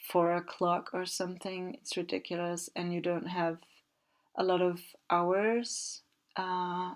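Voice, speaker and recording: A woman speaks with a Danish accent at a fairly low pitch, on a very clean recording with a silent background. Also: fairly even intonation, fairly slow pace. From Denmark. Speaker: video game builder, content creator. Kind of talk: casual commentary over gameplay. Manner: hesitant, many fillers.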